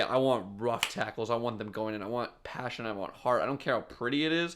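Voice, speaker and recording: Ordinary pitch variation and a fairly quick pace come through on a very clean recording with a silent background. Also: man. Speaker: sports podcast host. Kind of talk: solo sports podcast commentary. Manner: halting, self-interrupting.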